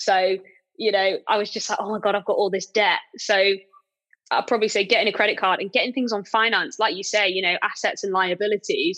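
A woman speaks fairly quickly at a medium pitch with a British accent. Her tone is bright and sharp, and her intonation stays fairly even. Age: 20s. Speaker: property letting company director. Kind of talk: interview.

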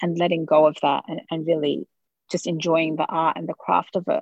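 Over a quiet background, a woman with a fairly low pitch talks at a fairly quick pace in a dry, close sound with no echo. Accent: Australian. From Australia. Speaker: author and sociology researcher. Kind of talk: interview. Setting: studio.

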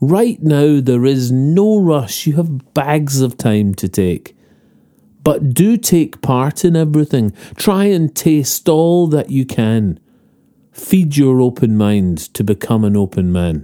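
Pitch swings very widely while loudness stays very even. The tone is gentle, dark and mellow, and the pace is very slow. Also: man, fairly high pitch for a man. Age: 40s. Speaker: podcast host. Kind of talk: reading aloud a rhyming letter. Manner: gentle, reflective.

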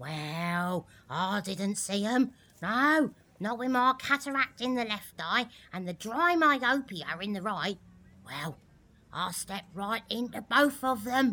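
The speech moves at a fairly slow pace with very wide pitch swings. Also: woman, fairly high pitch for a woman. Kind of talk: comic character acting. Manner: self-pitying, gossipy, one-upping.

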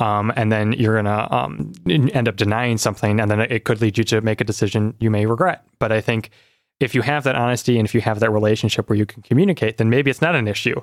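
Speaking very fast in an Upper Midwest accent, a man uses a medium pitch and ordinary pitch variation. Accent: Upper Midwest American. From Michigan, South Lyon. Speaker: doctoral student in philosophy. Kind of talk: interview conversation.

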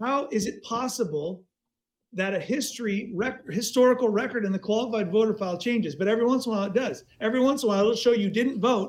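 A man at a very fast pace, high in pitch, with ordinary pitch variation. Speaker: election integrity activist. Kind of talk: casual chat.

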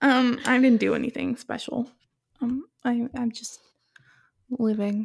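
A woman's high voice, flat and monotone, at a fairly slow pace with long, frequent pauses. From Seattle, US Pacific Northwest. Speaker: podcast co-host. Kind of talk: casual chat. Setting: remote recording in her kitchen.

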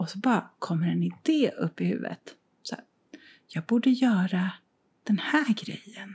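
Long, frequent pauses break up speech that moves at a moderate pace. The loudness swings widely. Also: woman. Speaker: podcast co-host. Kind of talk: casual chat. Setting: co-host's art studio, sharing one mic.

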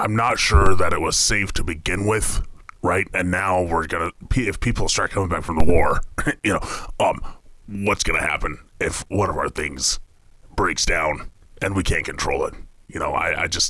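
Using a put-on character voice, a man speaks at a fairly low pitch and a moderate pace. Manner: irritable, cursing, fussy.

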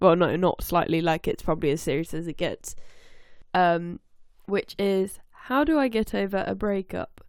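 Here a woman speaks in a plain, everyday voice at a medium pitch. Her pitch variation is ordinary and her pace moderate. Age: 20s. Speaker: podcast co-host. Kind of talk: casual chat. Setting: remote call recording.

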